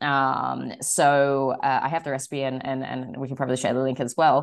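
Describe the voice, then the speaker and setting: A woman in an Australian accent at a moderate pace, against a quiet background. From Australia, Sydney. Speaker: wine shop owner. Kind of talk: interview. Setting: studio.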